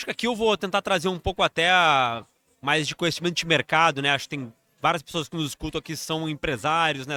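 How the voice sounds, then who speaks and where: Speaking at a very fast pace, a man uses a fairly high pitch with ordinary pitch variation. His tone is bright and sharp, with a southern Brazilian accent. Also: very clean recording, silent background. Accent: gaúcho Brazilian Portuguese. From southern Brazil, Rio Grande do Sul. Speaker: financial executive. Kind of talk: interview conversation. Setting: live event.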